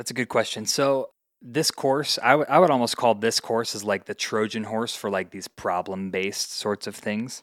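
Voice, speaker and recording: A man with an ordinary speaking voice, medium in pitch, talks at a moderate pace in an American accent with ordinary pitch variation and hardly any pauses. The sound is dry and close with no echo, on a very clean recording with a silent background. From US Midwest, Indiana. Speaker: teacher. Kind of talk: casual interview.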